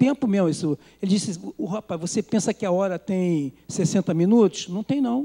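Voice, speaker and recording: Dark and mellow in tone, a man's high-pitched voice moves at a moderate pace with lively intonation. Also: dry, close sound with no echo. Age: 60s. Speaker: preacher. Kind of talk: sermon.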